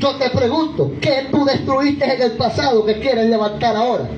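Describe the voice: With clear background noise behind him, a man speaks at a moderate pace with an extremely high pitch and fairly even intonation.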